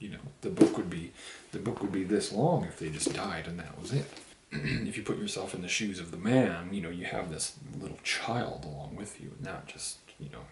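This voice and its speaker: Whispering quietly at a moderate pace, a man's voice shows big swings in loudness over noticeable background noise. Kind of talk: casual book review talk to camera, while drinking a beer. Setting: home, recorded on camera with poor sound. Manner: whispered, quiet.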